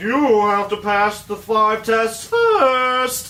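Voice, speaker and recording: Over clear background noise, someone performs a put-on character voice at a very slow pace. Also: female-sounding voice, fairly high pitch for a woman. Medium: solo performance.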